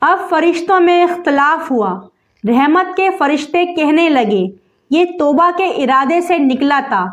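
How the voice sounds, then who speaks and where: The voice moves with lively intonation while its loudness stays very even. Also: woman, extremely high pitch for a woman. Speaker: Islamic lecturer. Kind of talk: Islamic sermon (bayan) to an audience. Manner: earnest, heart-touching, storytelling.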